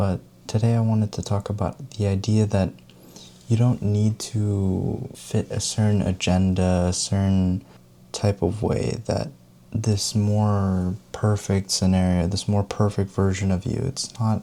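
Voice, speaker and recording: A man with a fairly low pitch and a gentle, dark, mellow tone speaks at a fairly slow pace with fairly even intonation. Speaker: self-help video creator who talks over tea. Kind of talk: soft-spoken tea talk to camera, self-help style. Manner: gentle, soft-spoken, conversational.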